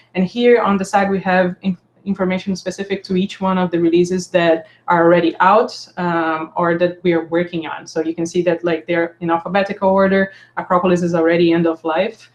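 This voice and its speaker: A woman's fairly low voice runs at a fairly quick pace in monotone, flat intonation. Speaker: software developer leading community meeting. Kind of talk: online meeting presentation. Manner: fast.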